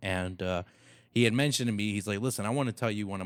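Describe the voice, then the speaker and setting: Over a silent background in a very clean recording, a man talks at a very fast pace with a fairly low pitch. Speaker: podcast host. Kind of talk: podcast conversation.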